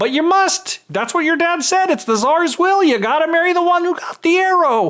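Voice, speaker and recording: This is a put-on character voice. It sits at an extremely high pitch and moves at a moderate pace. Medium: read story. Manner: calm, reassuring.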